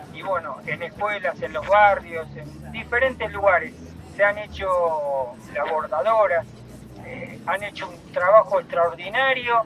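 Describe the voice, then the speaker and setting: With music in the background, a man with a Rioplatense accent speaks at a very slow pace and a high pitch, with lively intonation. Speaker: human rights activist. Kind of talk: announcements.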